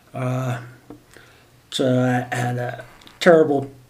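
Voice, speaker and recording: A man's voice carries audible room echo. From New Jersey, US East Coast. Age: 60s. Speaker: medical cannabis patient. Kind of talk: interview testimony. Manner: halting, many fillers.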